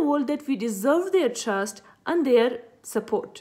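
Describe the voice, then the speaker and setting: With an Afghan accent, a woman talks at a moderate pace and high pitch against a quiet background. Her pitch swings very widely. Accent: Afghan (Pashto) English. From Afghanistan, Khost province. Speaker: youth advocate. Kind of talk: personal introduction speech. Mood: earnest, hopeful. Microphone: phone near.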